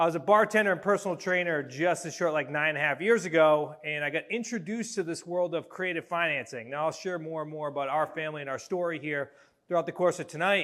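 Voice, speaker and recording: An American accent comes from a man speaking at a very fast pace and a fairly high pitch. The recording is very clean, with a silent background. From Massachusetts. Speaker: real estate coach. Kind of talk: seminar talk. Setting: stage with audience. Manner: animated.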